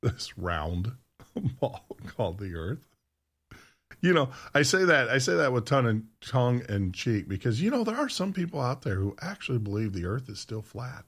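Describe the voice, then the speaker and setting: Heard on a very clean recording with a silent background, a man speaks at a moderate pace in a somewhat breathy voice with very wide pitch swings. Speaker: radio host. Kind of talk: live radio show monologue. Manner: casual and chatty.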